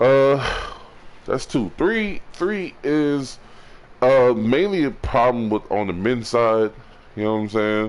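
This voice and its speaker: Speaking at a very slow pace, a man uses lively intonation at a medium pitch. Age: 20s. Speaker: streamer. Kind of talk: casual advice talk. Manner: gets loud; halting, repetitive.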